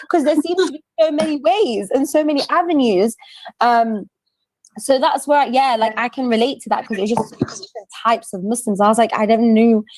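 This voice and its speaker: Her pitch high and her intonation lively, a woman talks at a fairly quick pace. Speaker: podcast host. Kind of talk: casual chat. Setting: video recording. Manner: loud; animated.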